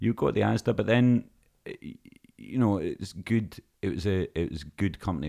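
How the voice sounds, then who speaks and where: A man speaks very fast in a Scottish accent. His tone is dark and mellow, with vocal fry. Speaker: stage actor. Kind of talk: casual chat.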